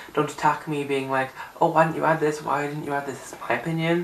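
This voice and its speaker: A man speaks at a medium pitch. Noticeable background noise and audible room echo fill the recording. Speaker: YouTuber music reviewer. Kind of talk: casual vlog talk. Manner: animated.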